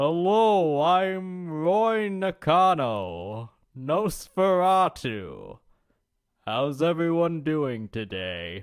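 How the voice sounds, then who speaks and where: In a put-on character voice, a man speaks at a very slow pace with a fairly high pitch and very wide pitch swings. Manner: salesy.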